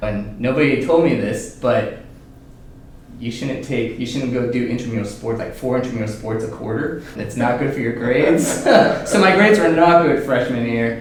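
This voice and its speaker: A man with a Californian accent speaks at medium pitch and a moderate pace, with ordinary pitch variation. Audible room echo and noticeable background noise fill the recording. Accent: Californian American English. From San Francisco Bay Area, California. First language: Chinese. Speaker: medtech startup founder and CEO. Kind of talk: podcast interview. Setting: at a conference.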